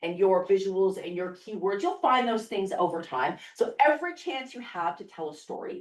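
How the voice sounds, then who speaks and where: A woman with a medium pitch and an unremarkable speaking voice talks with lively intonation. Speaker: startup marketing speaker. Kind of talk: seminar talk.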